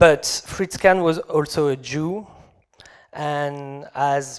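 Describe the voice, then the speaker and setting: Fairly high in pitch, a man speaks with a French accent and ordinary variation in his pitch. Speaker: game developer. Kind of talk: conference talk. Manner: halting.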